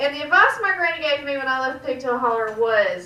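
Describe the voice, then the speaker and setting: A woman speaks with a Georgia accent at a high pitch. Her pace is moderate, and there is noticeable background noise. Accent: Southern US (Georgia). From US South, Georgia. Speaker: stand-up comedian. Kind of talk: stand-up. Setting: stage with audience, back room of a restaurant.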